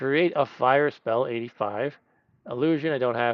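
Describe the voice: Over a quiet background, someone does plain reading aloud with ordinary pitch variation.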